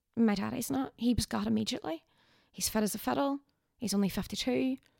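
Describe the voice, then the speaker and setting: Very fast, dark and mellow speech from a woman at medium pitch, with very wide pitch swings, in a dry, close sound with no echo. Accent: Northern Irish. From Northern Ireland, Derry. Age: 30s. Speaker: tour guide. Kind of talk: casual chat.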